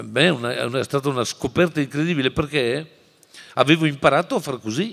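This man speaks with vocal fry and big swings in loudness. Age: 60s. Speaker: teacher and writer; teacher. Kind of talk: lecture. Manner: animated. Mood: passionate, expressive. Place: hall. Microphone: podium.

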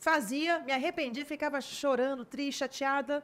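A woman speaks at a moderate pace with ordinary pitch variation on a very clean recording with a silent background. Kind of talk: interview on parenting.

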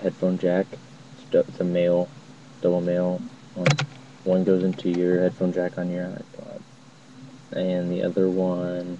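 Monotone, flat speech with long, frequent pauses comes through dry with no echo, over noticeable background noise. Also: man, very deep, low pitch for a man, fairly slow pace. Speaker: vlogger. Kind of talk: casual tutorial. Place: home room. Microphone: headset.

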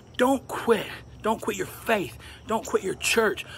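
A man is speaking. Music plays in the background. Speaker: sign language teacher. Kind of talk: motivational tutorial vlog. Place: garden. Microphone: phone near.

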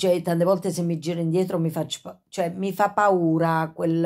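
A woman's fairly low, dark, mellow voice, fairly slow and monotone with flat intonation, against a quiet background. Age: 50s. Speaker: YouTuber with Tourette syndrome; vlogger recounting past. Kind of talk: casual vlog monologue. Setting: at home, in bed. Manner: frequent vocal tics and sudden exclamations; halting, with many fillers. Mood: reflective, a bit agitated. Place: home room. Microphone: phone near.

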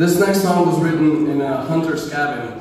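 Over clear music in the background and strong room echo, a man talks at a moderate pace with fairly even intonation. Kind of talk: stage banter introducing a song. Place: hall.

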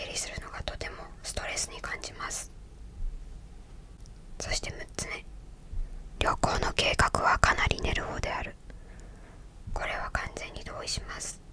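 Soft-spoken, very slow whispering over noticeable background noise. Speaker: video creator. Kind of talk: calm reflective talk going through a personality list. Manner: soft close-mic ASMR whisper. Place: home room. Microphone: studio mic.

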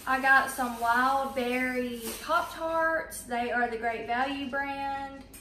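Slow, high-pitched speech from a woman, bright and sharp in tone, with audible room echo. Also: fairly even intonation.

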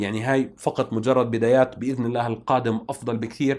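Speaking at a moderate pace, a man keeps a medium pitch and a monotone, flat intonation. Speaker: tech YouTuber. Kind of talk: vlog to camera. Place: home room. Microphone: lapel.

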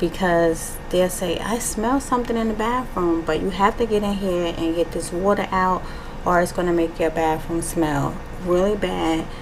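A woman speaks at a moderate pace over noticeable background noise. Her pitch is fairly low, with ordinary variation. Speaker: home cleaning vlogger. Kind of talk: casual vlog chat. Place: bathroom. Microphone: camera far.

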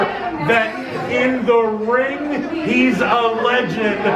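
A man is speaking. Loud background noise runs behind him. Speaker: wrestling manager. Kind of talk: wrestling promo. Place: hall.

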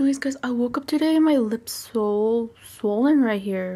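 A woman with an American accent speaks at a moderate pace in a dark, mellow tone, her fairly high pitch carried by lively intonation.

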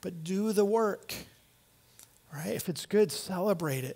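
A man speaks with an American accent at a fairly slow pace. His pitch variation is ordinary. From US Midwest. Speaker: pastor. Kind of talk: sermon. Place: church. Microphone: headset.

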